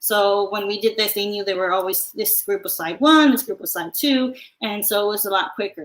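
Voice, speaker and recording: Here is a woman with a plain, everyday voice. Her intonation is lively and her pace fairly quick. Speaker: math teacher. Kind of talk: webinar presentation. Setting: live online stream.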